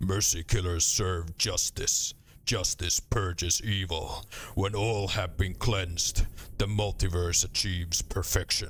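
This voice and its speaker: A put-on character voice comes at a fairly slow pace over clear background noise. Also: man, very deep, low pitch for a man. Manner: cold, solemn.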